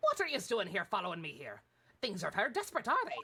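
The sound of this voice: Racing along very fast, a female-sounding voice puts on a character voice at a fairly high pitch.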